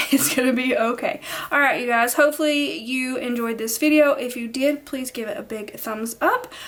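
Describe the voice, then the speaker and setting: A high-pitched woman's voice at a moderate pace over noticeable background noise. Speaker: planner video creator. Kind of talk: casual vlog talk to camera. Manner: animated, encouraging.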